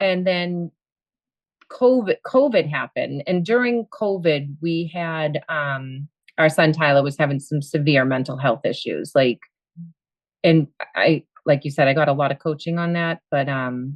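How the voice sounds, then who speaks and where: A Boston accent at a fairly slow pace, with ordinary pitch variation. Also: woman, very deep, low pitch for a woman. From Boston area, US. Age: 50s. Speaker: coaching client, school aide and bartender. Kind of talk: interview. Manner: lively.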